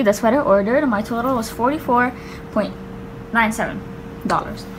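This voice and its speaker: A woman speaks in a high voice with ordinary pitch variation. Noticeable background noise runs underneath. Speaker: pretend shop seller packing an order. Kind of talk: casual vlog chat. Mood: cheerful, excited. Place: home room. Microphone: phone near.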